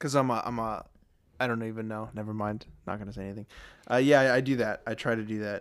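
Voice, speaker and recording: Delivered at a very fast pace, the speech has a playful tone and fairly even intonation. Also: man, medium pitch for a man. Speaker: podcast host. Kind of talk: casual comedy chat with hypotheticals. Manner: joking, playful.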